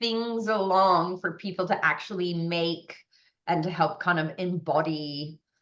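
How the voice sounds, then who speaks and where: Her pitch medium for a woman and its variation ordinary, she speaks with an American accent. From US West Coast, San Francisco. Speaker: naturopath and medical astrologer. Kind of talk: interview.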